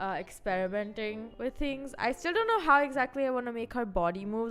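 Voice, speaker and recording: Over music in the background, a woman speaks at a fairly high pitch with lively intonation. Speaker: vtuber streamer. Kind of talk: casual chat. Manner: fast.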